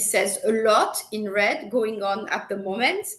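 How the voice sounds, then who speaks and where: Amid audible room echo, a woman with a fairly high pitch talks at a very slow pace. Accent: French. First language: French. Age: 50s. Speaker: marketing executive. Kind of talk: interview. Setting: live video stream.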